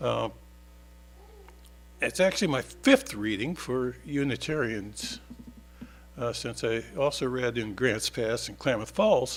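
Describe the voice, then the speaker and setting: A man's voice with music in the background. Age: 70s. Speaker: author and newspaper columnist. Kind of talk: casual spoken introduction; reading aloud of own essays at a church service. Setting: church service. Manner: halting, many fillers.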